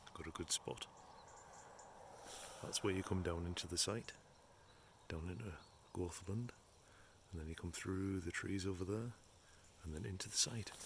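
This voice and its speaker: Whispering, a man speaks with long, frequent pauses. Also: moderate pace. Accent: English. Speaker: caravan travel vlogger. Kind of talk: casual vlog narration. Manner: chatty.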